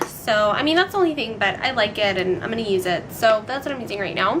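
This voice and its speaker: Amid noticeable background noise and audible room echo, a woman with a fairly high pitch speaks at a fairly quick pace with lively intonation. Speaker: beauty vlogger. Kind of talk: casual tutorial. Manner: chatty, filler-heavy.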